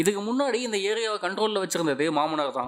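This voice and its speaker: Very wide pitch swings mark this man's delivery. His voice sits high in pitch. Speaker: movie recap narrator. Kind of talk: movie recap narration.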